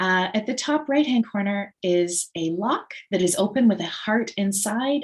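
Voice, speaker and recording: A woman speaks with lively intonation in a somewhat breathy voice. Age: middle-aged. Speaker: webinar host. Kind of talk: online presentation introduction.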